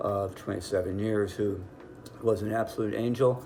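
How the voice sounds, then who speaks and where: A man's fairly low, monotone voice at a fairly quick pace, flat in intonation, over noticeable background noise. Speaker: business executive, cancer survivor. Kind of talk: testimony.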